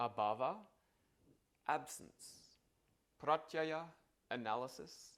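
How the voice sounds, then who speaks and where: The speaker has an Australian accent and vocal fry. The pace is fairly slow, and the pitch swings very widely. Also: man. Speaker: yoga philosophy teacher. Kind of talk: tutorial. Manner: casual.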